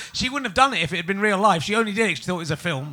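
A man with an English accent talks with ordinary pitch variation. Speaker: comedian and podcast host. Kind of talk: live comedy podcast. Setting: stage with audience.

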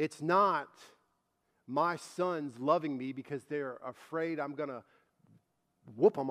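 In a very clean recording with a silent background, a man with a fairly high pitch speaks at a fairly slow pace and ordinary pitch variation. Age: 40s. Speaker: church lead minister and preacher. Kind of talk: Sunday sermon in a contemporary church, pastoral exhortation to the congregation. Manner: halting with frequent ums and repeated words; earnest, pleading exhortation, rising urgency.

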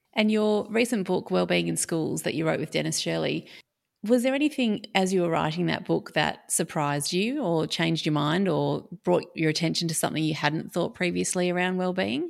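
A woman with an Australian accent on a very clean recording with a silent background. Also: moderate pace. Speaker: podcast host and academic. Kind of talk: interview conversation.

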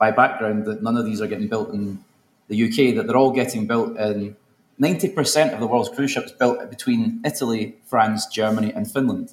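A man with a Glaswegian accent speaks at a fairly quick pace, medium in pitch, with ordinary pitch variation. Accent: Glaswegian Scottish. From Scotland, Glasgow. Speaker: politician. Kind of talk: conference panel talk. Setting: stage with audience.

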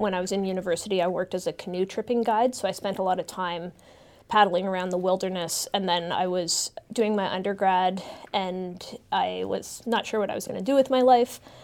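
A woman with a Canadian accent talks at a fairly quick pace in an ordinary speaking voice. Her pitch is medium and her intonation stays fairly even. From Canada, southeastern Ontario (Kingston). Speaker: geography professor. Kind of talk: interview.

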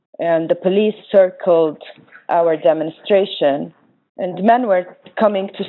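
At a fairly slow pace, a woman speaks in an Arabic accent with fairly even intonation. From Jordan, Palestinian family. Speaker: organizer and nonprofit co-director. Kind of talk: panel presentation.

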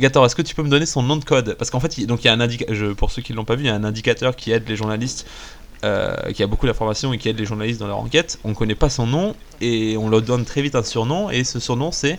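The speaker is a man with a medium pitch and ordinary pitch variation. He talks very fast. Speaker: podcast host. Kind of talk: casual chat.

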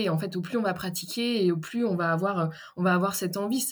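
The delivery is fairly quick and fairly even in intonation, in an ordinary speaking voice. A silent background leaves the recording very clean. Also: woman. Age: 30s. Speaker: therapist and personal development coach. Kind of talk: interview.

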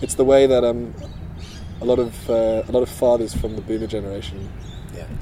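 Amid noticeable background noise and audible room echo, a man of medium pitch talks at a fairly quick pace with ordinary pitch variation, big swings in loudness and long, frequent pauses. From South Africa. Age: 30s. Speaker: futurist newsletter writer. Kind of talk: casual interview. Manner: halting.

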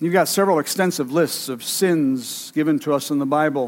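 A man with a fairly high pitch talks at a moderate pace, using an ordinary speaking voice and ordinary pitch variation. The recording is very clean, with a silent background. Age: 60s. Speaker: pastor. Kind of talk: sermon. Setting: church sanctuary with congregation.

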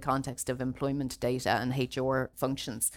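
With an Irish accent, a woman speaks in a very deep, low pitch. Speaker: data protection lawyer. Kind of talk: seminar presentation. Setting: seminar room with audience, streamed online.

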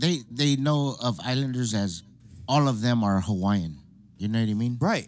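On a very clean recording with a silent background, a man talks in a plain, everyday voice with ordinary pitch variation. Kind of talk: casual chat.

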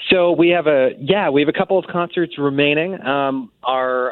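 This man has an ordinary speaking voice, pitched fairly high. His pitch varies in an ordinary way. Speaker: composer and festival director. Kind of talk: radio interview. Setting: phone call.

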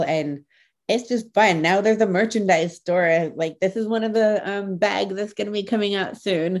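A woman with an American accent has a normal speaking voice. She talks at a moderate pace with fairly even intonation. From US Midwest (Ohio). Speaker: pediatric audiologist. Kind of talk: interview.

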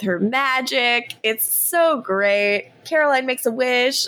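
This woman's voice has a bright, sharp tone. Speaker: podcast host. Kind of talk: casual chat, recap podcast.

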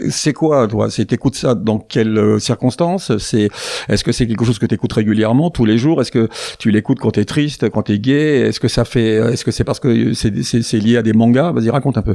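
Amid noticeable background noise, a man with a medium-pitched voice talks at a fairly quick pace, with very even loudness and ordinary pitch variation. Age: old. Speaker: radio show host. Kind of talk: casual chat. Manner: halting.

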